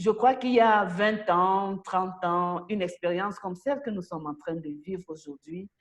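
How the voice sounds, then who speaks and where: A woman with a Cameroonian accent at medium pitch and moderate pace, with hardly any pauses, ordinary pitch variation and big swings in loudness. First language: Bulu (speaking French). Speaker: president of a translators' association. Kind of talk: interview.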